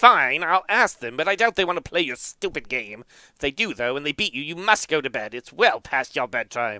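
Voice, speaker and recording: A man's put-on character voice, fairly high and fairly quick, in a very clean recording with a silent background. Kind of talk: fairy tale narration. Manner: stern, scolding.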